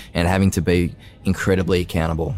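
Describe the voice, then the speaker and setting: A man speaks with an Australian accent at a fairly quick pace. His pitch is very deep and low. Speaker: sports podcast host. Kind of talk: casual interview chat.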